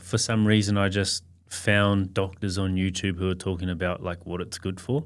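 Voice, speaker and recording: A man's very deep, low voice with an Australian accent, fairly even intonation and a moderate pace. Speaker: podcast guest. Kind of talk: casual chat.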